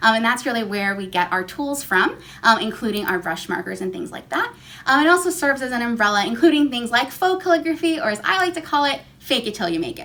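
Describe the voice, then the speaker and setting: A woman with a high pitch speaks at a very fast pace, her voice making very wide pitch swings and big swings in loudness over noticeable background noise. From New York City. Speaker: calligraphy artist and teacher. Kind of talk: tutorial. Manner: fast talker; frequent um fillers.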